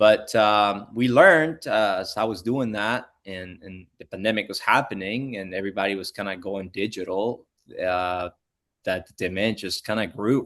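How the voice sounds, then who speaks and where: A man in a Spanish accent at a moderate pace, with big swings in loudness and ordinary pitch variation. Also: fairly low pitch for a man, quiet background. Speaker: pool industry educator. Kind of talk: interview conversation.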